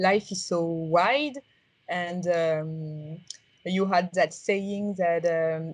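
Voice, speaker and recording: Medium pitch marks this woman's voice. The background is quiet. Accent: strong French. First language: French. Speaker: tech startup founder. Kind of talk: interview. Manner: halting, many fillers.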